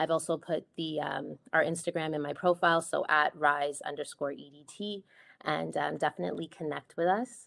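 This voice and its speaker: A woman with a Toronto accent at a moderate pace, very deep, low pitch, vocal fry, and fairly even intonation over a quiet background. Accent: Toronto Canadian. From Scarborough, Toronto; Ontario. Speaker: project manager; event host. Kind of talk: presentation. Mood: warm, friendly. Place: home room. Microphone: video call.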